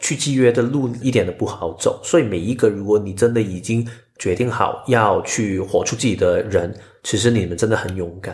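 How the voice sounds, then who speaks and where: A man's somewhat breathy voice comes through at a moderate pace. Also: medium pitch for a man, ordinary pitch variation. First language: Cantonese (speaking Chinese). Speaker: podcast co-host and editor, Human Design enthusiast. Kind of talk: casual chat.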